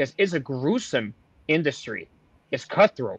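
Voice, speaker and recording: Dry and close with no echo, a man's plain, everyday voice carries ordinary pitch variation. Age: 20s. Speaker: wrestling podcast host. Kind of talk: casual chat.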